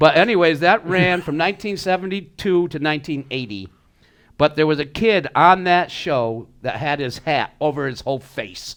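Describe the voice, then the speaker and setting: A man talks at a moderate pace with lively intonation. His pitch is fairly high, in an unremarkable speaking voice. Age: 60s. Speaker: podcast co-host. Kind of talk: casual chat.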